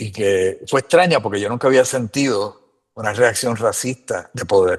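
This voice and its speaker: Fairly slow speech with ordinary pitch variation against a quiet background. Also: man, medium pitch for a man. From Puerto Rico. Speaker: immigrant sharing experiences. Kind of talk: casual interview chat.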